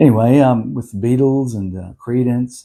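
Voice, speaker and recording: Recorded very cleanly against a silent background, a man with an Australian accent speaks at a fairly slow pace in a dark, mellow tone with ordinary pitch variation. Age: 70s. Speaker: musician. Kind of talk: casual chat. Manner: halting, many fillers.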